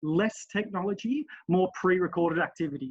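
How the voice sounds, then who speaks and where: A man talks in an Australian accent at a high pitch. His pitch variation is ordinary. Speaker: relay committee member. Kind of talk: webinar presentation. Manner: fast.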